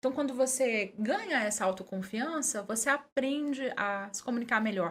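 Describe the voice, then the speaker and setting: At a fairly slow pace, this somewhat breathy voice shows ordinary pitch variation. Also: woman. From Minas Gerais, Brazil (Conceição das Alagoas). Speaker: journalist and communicator. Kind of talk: podcast interview.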